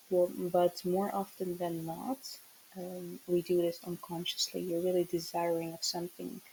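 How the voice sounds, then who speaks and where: A woman with a non-native accent speaks at a moderate pace in a fairly low pitch, with a dark, mellow tone and monotone, flat intonation. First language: not English. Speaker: tarot reader, spiritual channeler. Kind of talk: channeled tarot message. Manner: hesitant, many fillers.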